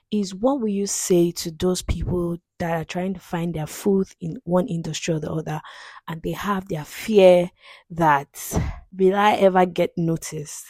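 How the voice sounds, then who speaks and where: An ordinary speaking voice from a woman, fairly low in pitch, with ordinary pitch variation, a fairly slow pace and a dry, close sound with no echo. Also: big swings in loudness. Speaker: podcast host. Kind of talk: casual conversation.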